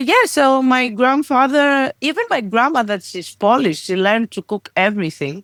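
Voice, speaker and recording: A high-pitched woman at a moderate pace, lively intonation, hardly any pauses, dry, close sound with no echo. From Greece. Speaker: podcast guest. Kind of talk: interview answer.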